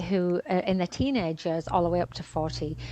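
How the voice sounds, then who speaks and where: A woman's plain, everyday voice at a fairly quick pace over a quiet background. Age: 50s. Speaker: fitness and women's health expert. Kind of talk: podcast interview.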